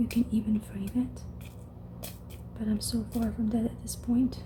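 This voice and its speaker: Noticeable background noise sits behind this speaker. A woman talks in a soft-spoken way. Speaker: ASMR creator. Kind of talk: ASMR whisper-style talk to camera.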